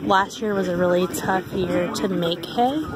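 Against loud background noise, a woman's voice comes through with a dry sound and no echo. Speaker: farm vlogger. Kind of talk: casual vlog commentary. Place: market. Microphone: phone near.

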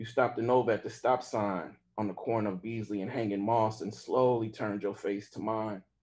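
The intonation remains fairly even. Someone reads in an unforced voice.

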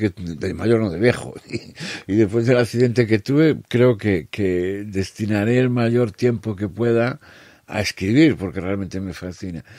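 On a very clean recording with a silent background, a man with an unremarkable speaking voice talks fairly slowly at a fairly low pitch, his intonation lively. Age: 60s. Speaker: musician and writer. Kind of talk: casual chat.

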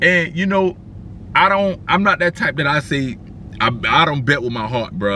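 A man in an animated tone, dry sound with no echo, light background noise. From South Carolina. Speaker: car culture vlogger. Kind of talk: casual vlog recap. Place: car. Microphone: phone near.

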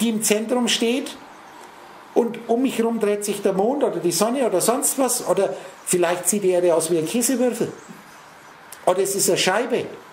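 A man speaks at a moderate pace in a high pitch with ordinary pitch variation. Noticeable background noise and audible room echo surround him. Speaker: spiritual speaker. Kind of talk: lecture. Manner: talks nonstop.

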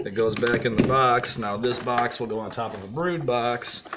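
Loud background noise surrounds a man's voice. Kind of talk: tutorial. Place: workshop.

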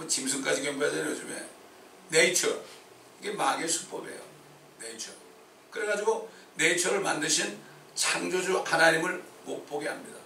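A man speaks with audible room echo. Noticeable background noise sits behind him. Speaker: pastor. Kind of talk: sermon. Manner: animated.

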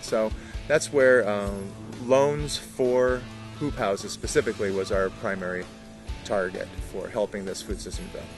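A man with a fairly low pitch speaks at a moderate pace, with ordinary pitch variation and long, frequent pauses. Clear music plays in the background, and the sound is dry with no echo. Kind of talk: interview answer. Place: garden.

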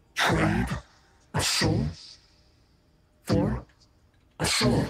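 This man talks at a very slow pace. Every word comes out very slowly. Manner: coaxing, sinister.

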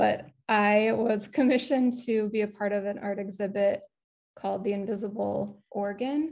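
A woman with an American accent, medium in pitch, at a moderate pace and with fairly even intonation. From US Midwest. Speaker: visual artist. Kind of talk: panel presentation. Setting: video call.

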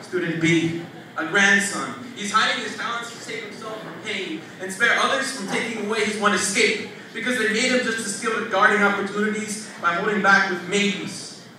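Over light background noise and strong room echo, a man uses a raised, projected voice at a fairly quick pace with fairly even intonation. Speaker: slam poet, teacher. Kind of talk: spoken word poetry performance. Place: stage.

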